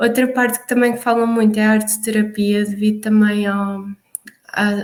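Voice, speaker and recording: Somewhat breathy, the speaker talks at a fairly slow pace in a European Portuguese accent. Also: woman. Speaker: youth project facilitator. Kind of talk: online collaborative meeting presentation. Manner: halting, many fillers.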